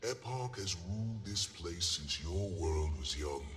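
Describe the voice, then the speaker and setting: Using a put-on character voice, a man speaks at a very deep, low pitch and a moderate pace, with clear background noise and a clear echo. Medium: video game. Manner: formal, measured.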